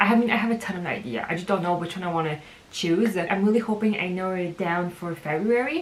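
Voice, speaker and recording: With a French accent, a woman speaks with ordinary pitch variation amid noticeable background noise and audible room echo. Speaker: book vlogger. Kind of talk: casual vlog monologue. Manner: casual, hesitant with fillers.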